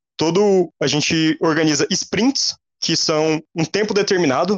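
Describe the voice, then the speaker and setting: A man with a Goiás accent, high in pitch, with ordinary pitch variation. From Goiás, Brazil. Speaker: computer engineering student. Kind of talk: casual interview.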